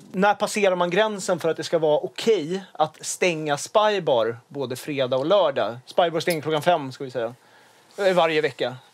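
With a normal speaking voice, a man talks at a moderate pace and fairly high pitch with lively intonation in a very clean recording with a silent background. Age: 20s. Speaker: podcast host. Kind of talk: casual chat.

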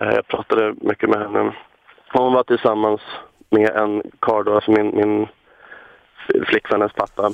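Keeping his loudness very even, a man speaks with long, frequent pauses. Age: 20s. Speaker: caller. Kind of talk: phone-in call.

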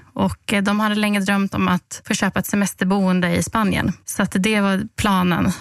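Hardly pausing, a woman with a medium pitch keeps a very even loudness and a monotone, flat intonation, her sound dry and close with no echo. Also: moderate pace. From Halmstad, Swedish west coast. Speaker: lottery winner communicator, former journalist. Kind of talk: podcast interview. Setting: studio.

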